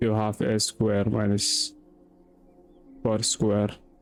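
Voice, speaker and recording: A man speaks very slowly at a fairly low pitch. There is music in the background. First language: non-English mother tongue. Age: 20s. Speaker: self-study vlogger. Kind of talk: casual study vlog.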